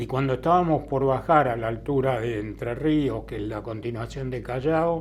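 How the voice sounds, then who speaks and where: A man talks in a medium pitch with ordinary variation. Room echo is audible around him. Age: 80s+. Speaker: bereaved father of a bombing victim. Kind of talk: testimony.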